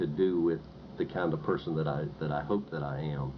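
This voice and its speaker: A man with a North Carolina accent and ordinary pitch variation. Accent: Southern US, North Carolina. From eastern North Carolina. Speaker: professor. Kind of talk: interview. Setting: recorded interview. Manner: halting, many fillers and repetitions.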